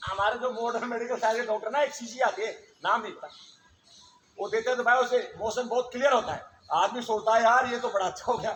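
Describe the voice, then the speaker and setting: Over music in the background, a man talks at a moderate pace in an extremely high pitch. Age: 60s. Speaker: yoga teacher. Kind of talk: yoga class instruction. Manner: animated; informal.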